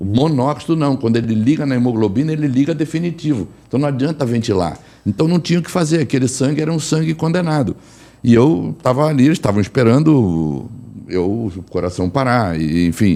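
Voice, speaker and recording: Here a man speaks fairly quickly at a medium pitch. His tone is dark and mellow, and his pitch swings very widely. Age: 60s. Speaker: physician and energy therapist. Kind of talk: personal testimony in panel talk.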